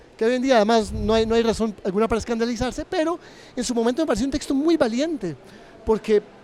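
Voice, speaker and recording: Against noticeable background noise, the words pour out at a very fast pace. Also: man. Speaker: interviewer. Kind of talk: interview. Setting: book fair.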